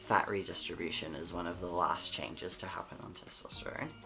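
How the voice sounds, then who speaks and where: Music plays in the background. Over it, a man with an Australian accent speaks with fairly even intonation. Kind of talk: casual talk to camera. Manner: sleepy, late-night.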